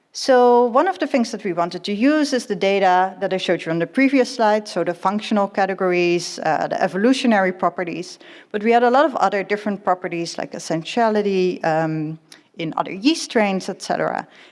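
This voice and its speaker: A woman's medium-pitched voice with lively intonation, at a fairly quick pace. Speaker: yeast geneticist, conference speaker. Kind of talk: lecture. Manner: fast.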